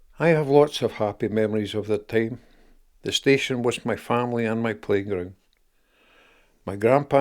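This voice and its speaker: Over a silent background on a very clean recording, a man speaks at medium pitch and a fairly quick pace with ordinary pitch variation. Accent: Scottish. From Scotland. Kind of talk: personal memoir narration.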